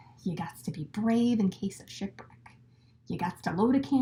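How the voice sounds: Natural reading voice throughout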